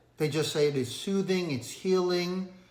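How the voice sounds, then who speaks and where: A man's high voice with a slight Asian accent at a moderate pace, in audible room echo. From Asia, moved to the US at twelve. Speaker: finance video creator. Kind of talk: casual storytelling vlog. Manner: hesitant, many fillers.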